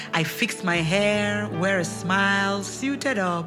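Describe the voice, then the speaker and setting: A woman talks while music plays in the background. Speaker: gospel spoken word artist. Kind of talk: spoken word poetry performance.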